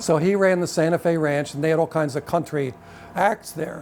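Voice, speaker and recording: Noticeable background noise behind a man's fairly high voice with fairly even intonation. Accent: Pennsylvania. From Pennsylvania, Reading area. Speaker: jazz saxophonist and club owner. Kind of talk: life history interview. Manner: halting, many repetitions.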